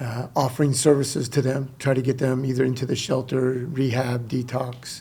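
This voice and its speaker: Over noticeable background noise, a man with an American accent talks at a moderate pace and medium pitch in a monotone, flat intonation. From Southern California, Orange County. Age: 60s. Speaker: homeless outreach supervisor. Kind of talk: interview chat.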